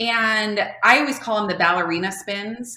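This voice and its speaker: A woman talks in a normal speaking voice at a moderate pace, with ordinary pitch variation. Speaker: speech-language pathologist and company founder. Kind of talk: casual interview chat.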